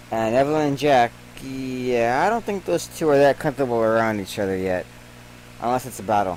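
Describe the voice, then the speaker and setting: A man talks at a fairly quick pace. Noticeable background noise runs under his words. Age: 30s. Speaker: game streamer. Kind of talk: let's play commentary reading game text aloud. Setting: live stream.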